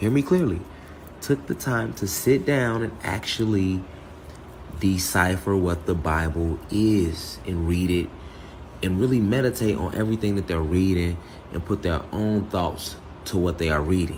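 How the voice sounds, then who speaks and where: Noticeable background noise sits under the voice. The pace is fairly slow, with ordinary pitch variation. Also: man, very deep, low pitch for a man. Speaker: spiritual teacher. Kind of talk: spiritual talk. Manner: soft-spoken; halting.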